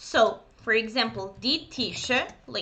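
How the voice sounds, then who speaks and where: A very slow pace with lively intonation, in a Serbian accent, amid audible room echo. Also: woman. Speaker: German teacher. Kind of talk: lecture. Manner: hesitant, many fillers.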